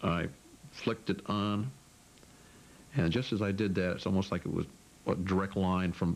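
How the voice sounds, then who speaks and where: A man with a very deep, low pitch at a moderate pace, music in the background. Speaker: airline pilot. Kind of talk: interview answer.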